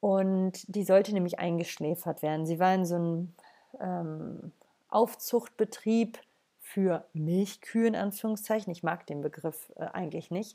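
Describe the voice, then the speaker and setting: The voice has a dark, mellow tone and fairly even intonation at a fairly slow pace. The recording is very clean, with a silent background. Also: woman, medium pitch for a woman. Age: 30s. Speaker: podcaster and animal rights advocate. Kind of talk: solo monologue. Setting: at home in the living room. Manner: hesitant, many filler sounds. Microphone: laptop.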